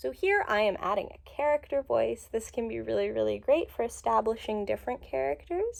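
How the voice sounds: What we hear is a natural reading voice.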